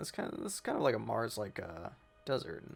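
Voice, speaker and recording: A man's medium-pitched voice at a fairly quick pace, with music in the background. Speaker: gaming youtuber. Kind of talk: gameplay commentary. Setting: home room, not sound treated. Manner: monotone; rambling, casual.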